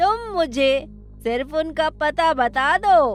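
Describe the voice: A female-sounding cartoonish character voice comes through at a high pitch. Background noise is clearly audible.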